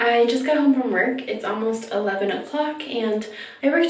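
Audible room echo around a woman's voice with ordinary pitch variation. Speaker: beauty vlogger. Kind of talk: casual vlog chat. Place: bathroom. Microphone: phone near.

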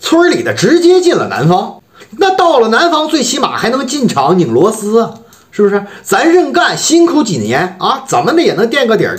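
A man talks at a moderate pace, his pitch swinging very widely. The background is quiet. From Harbin, northeast China. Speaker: vlogger. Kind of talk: casual talk to camera. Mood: wry, complaining about hometown economy. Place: home room. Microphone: phone near.

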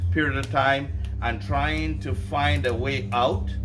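A man at a fairly low pitch, with music in the background. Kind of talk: interview answer. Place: garden. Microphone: camera far.

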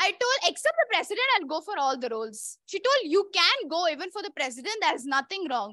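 A woman with an Indian accent speaks in a raised, projected voice at an extremely high pitch and a fairly quick pace, her tone bright and sharp. The background is quiet and the sound is dry, with no echo. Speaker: club president. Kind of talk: personal speech. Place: hall.

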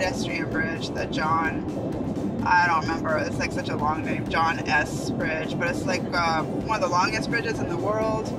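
Moderate pace and ordinary pitch variation, with music in the background. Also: man. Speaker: travel vlogger. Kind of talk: casual vlog chat. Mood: relaxed, mildly disappointed. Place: car. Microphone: phone near.

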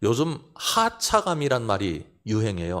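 The recording is very clean, with a silent background. On it, a man speaks with very wide pitch swings. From South Korea, South Chungcheong (Seocheon). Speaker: pastor. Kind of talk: sermon.

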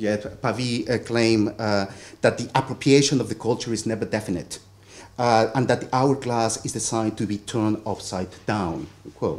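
The speaker has a Spanish accent and fairly even intonation. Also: man, moderate pace. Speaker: theatre lecturer and performer; conference panelist. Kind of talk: academic paper reading. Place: hall. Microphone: podium.

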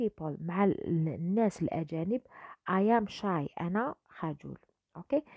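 A woman speaks with an Algerian accent at a medium pitch. Her intonation is lively. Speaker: English teacher. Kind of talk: tutorial.

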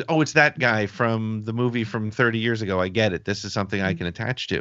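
Against a quiet background, a man talks at a fairly quick pace. His pitch is medium. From United States. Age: 50s. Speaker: podcast host. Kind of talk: casual chat. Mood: relaxed, conversational. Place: home room. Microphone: video call.

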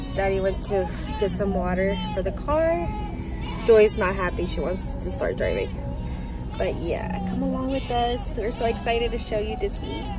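A woman is speaking over clear music in the background. The sound is dry, with no echo. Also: moderate pace. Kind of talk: casual vlog chat. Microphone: phone near.

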